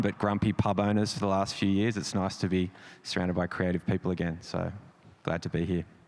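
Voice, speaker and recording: With an Australian accent, a man speaks at a fairly low pitch with fairly even intonation. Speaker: creative director. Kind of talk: panel discussion.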